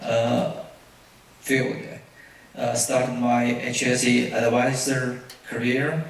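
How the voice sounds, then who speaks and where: With a Chinese accent, a man speaks very slowly in a monotone, flat intonation, leaving long, frequent pauses, amid noticeable background noise and audible room echo. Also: medium pitch for a man, very even loudness. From China. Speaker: safety consultant presenter. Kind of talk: conference presentation. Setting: auditorium with audience. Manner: halting, many fillers.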